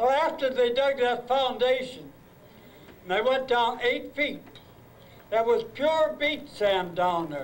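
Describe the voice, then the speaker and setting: Very slowly and with long, frequent pauses, a man with an American accent speaks at an extremely high pitch with ordinary pitch variation. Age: 80s+. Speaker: retired high school principal. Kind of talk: reunion speech to former students. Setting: live event hall.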